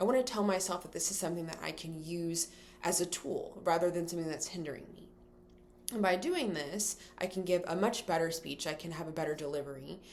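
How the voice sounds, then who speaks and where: Speaking at a fairly quick pace, a woman uses a fairly low pitch with ordinary pitch variation and big swings in loudness. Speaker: college student. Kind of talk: class speech to camera. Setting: recorded in front of a camera. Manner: fast; vocal fillers.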